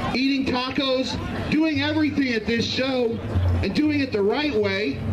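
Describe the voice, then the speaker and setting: The voice moves at a moderate pace with ordinary pitch variation. Noticeable background noise runs underneath. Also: man, extremely high pitch for a man. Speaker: pro wrestling manager. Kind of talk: wrestling heel ring promo. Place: stadium.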